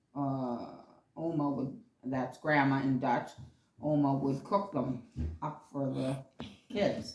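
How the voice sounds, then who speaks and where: Speaking at a very slow pace with long, frequent pauses, a woman uses a very deep, low pitch and ordinary pitch variation, with audible room echo around her. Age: 70s. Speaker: grandmother interviewed by grandchild. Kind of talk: casual interview. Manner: halting.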